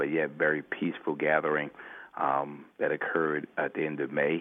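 A man with a very deep, low voice and an American accent, at a moderate pace with monotone, flat intonation. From Brooklyn, New York. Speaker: city mayor. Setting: remote call.

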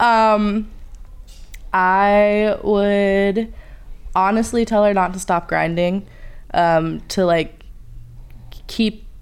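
With monotone, flat intonation, the woman's voice stays at a medium pitch. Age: 20s. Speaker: film student and production assistant. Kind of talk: interview.

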